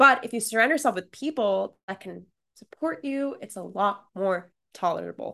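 A woman with a fairly high, bright, sharp voice and vocal fry speaks at a moderate pace, with lively intonation and big swings in loudness. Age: 20s. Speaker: YouTuber and agency founder. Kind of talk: casual interview chat. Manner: animated.

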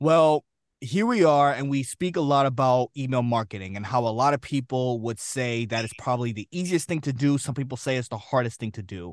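A plain, everyday voice, a man at medium pitch talks at a fairly quick pace with ordinary pitch variation and hardly any pauses, in a dry, close sound with no echo over a quiet background. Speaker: podcast host. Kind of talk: casual interview chat.

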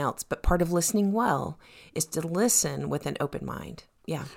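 Vocal fry runs through speech at a moderate pace on a very clean recording with a silent background. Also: woman. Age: 50s. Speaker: podcast co-host and mentor. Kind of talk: casual chat.

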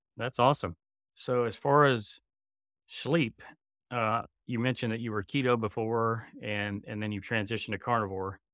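A man with a normal speaking voice talks at medium pitch and a moderate pace, in a dry, close sound with no echo and a very clean recording with a silent background. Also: fairly even intonation. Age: 40s. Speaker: podcast host. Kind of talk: interview; scripted outro.

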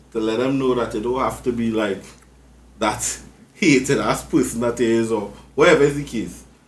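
This man talks at a medium pitch and a moderate pace, with ordinary pitch variation. He leaves long, frequent pauses, and the room gives an audible echo. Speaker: podcast host. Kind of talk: casual chat.

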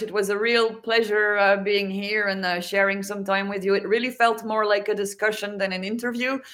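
A woman speaks at a fairly quick pace with a French accent and hardly any pauses. Her medium-pitched voice keeps a monotone, flat intonation. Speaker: NFT artist and graphic designer. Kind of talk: interview.

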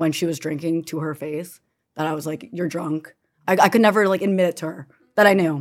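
An ordinary speaking voice from a woman, fairly low in pitch, with fairly even intonation at a fairly quick pace. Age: 20s. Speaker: daughter of parent in recovery. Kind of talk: casual panel conversation.

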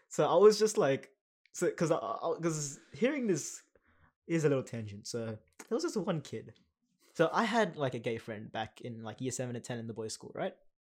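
In an Australian accent, a man with a fairly high pitch speaks at a moderate pace, with very wide pitch swings and big swings in loudness, on a very clean recording with a silent background. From Western Sydney, Australia. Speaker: podcast co-host. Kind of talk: casual chat. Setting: recording in a broom closet.

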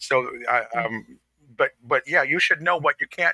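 The sound is dry and close, without any echo. The man talks in an American accent. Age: 50s. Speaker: fashion podcast co-host. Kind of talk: casual chat.

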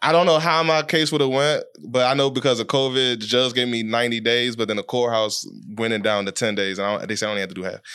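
This man speaks at a very fast pace with an American accent in a bright, sharp tone. His pitch is medium, with ordinary pitch variation. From Washington, D.C. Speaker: podcast host and music video director. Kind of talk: casual chat.

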